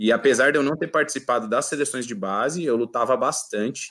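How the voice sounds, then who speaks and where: A man with an ordinary speaking voice, ordinary pitch variation and a fairly quick pace. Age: 30s. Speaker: judo athlete. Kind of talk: casual interview.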